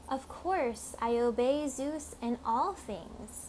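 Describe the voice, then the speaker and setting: Over clear background noise, a woman does a put-on character voice at a high pitch and a very slow pace. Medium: read story. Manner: smooth, coaxing.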